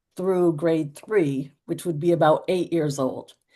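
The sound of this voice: This woman has a fairly low pitch and a dark, mellow tone. She speaks with an American accent and ordinary pitch variation.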